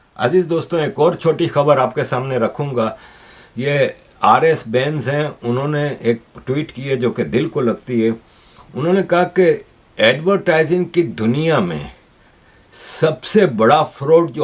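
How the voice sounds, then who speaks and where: With an ordinary speaking voice, a man talks in a fairly high pitch using lively intonation. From Pakistan, Karachi. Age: 60s. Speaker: political commentator, YouTuber. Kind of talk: news commentary monologue.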